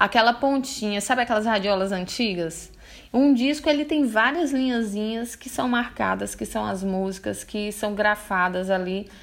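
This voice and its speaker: A woman talks in a normal speaking voice. Her pitch is fairly high, with ordinary pitch variation. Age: 30s. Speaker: motivational video creator. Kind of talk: motivational monologue. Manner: informal, direct address to viewers.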